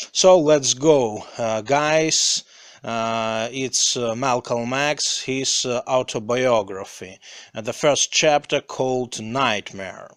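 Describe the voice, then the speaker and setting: The speaker talks at a very slow pace with a non-native accent. The pitch rises and falls in an ordinary way. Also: man, medium pitch for a man. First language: not English. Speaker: English learner reading aloud. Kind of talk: reading aloud; casual chat. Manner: halting, many fillers.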